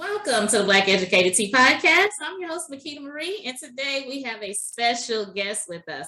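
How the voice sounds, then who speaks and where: Over noticeable background noise, a woman with a fairly high pitch speaks at a fairly quick pace, her pitch swinging very widely and her loudness rising and falling sharply. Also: hardly any pauses. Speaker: podcast host. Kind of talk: interview podcast.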